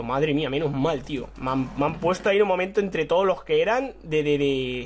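Fairly high-pitched, a man talks at a very fast pace with ordinary pitch variation amid noticeable background noise. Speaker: gaming YouTuber. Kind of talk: live gameplay commentary. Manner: animated, excitable.

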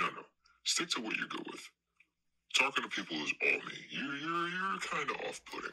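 Using a put-on character voice, a man speaks at a moderate pace with long, frequent pauses. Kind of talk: mockumentary comedy. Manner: pompous, indignant.

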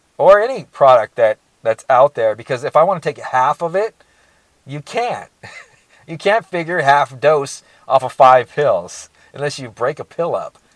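A man speaks against a quiet background. The sound is dry, with no echo. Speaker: supplement reviewer. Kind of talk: casual product review. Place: car. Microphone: lapel.

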